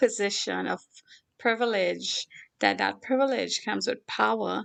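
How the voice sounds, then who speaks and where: In a Caribbean accent, a woman speaks at a moderate pace. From Trinidad and Tobago. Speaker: philanthropist. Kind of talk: talk show interview.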